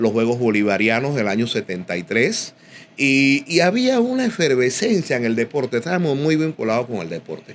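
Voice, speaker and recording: With very wide pitch swings around a medium pitch, a man speaks at a moderate pace. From Panama, Panama City (Río Abajo, Santana). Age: 60s. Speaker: boxing commentator and sports journalist. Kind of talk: casual interview chat.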